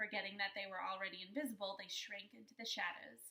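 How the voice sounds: A natural reading voice. The intonation stays fairly even.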